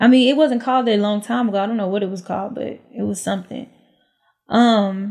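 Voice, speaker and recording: A woman with an ordinary speaking voice talks at a fairly quick pace, her pitch fairly high and her intonation fairly even. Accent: American. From Houston, Texas. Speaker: reality TV personality, former stripper. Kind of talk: casual interview chat.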